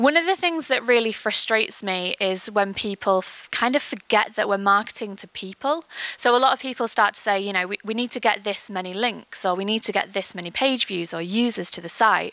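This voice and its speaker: Speaking with an English accent, a woman uses a bright, sharp tone at medium pitch, a fairly quick pace and ordinary pitch variation. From England. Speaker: marketing agency creative lead. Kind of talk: conference talk. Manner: fast.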